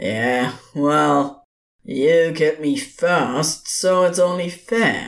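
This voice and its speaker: A put-on, growling character voice at a very slow pace. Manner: giddy, mocking, theatrical.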